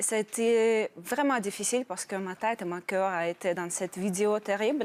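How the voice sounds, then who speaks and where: A woman talks at a moderate pace, her pitch varying in an ordinary way, on a very clean recording against a silent background. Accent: Russian. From Russia. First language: Russian (speaking French). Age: 30s. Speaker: program participant, newcomer immigrant. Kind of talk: TV interview. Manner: halting.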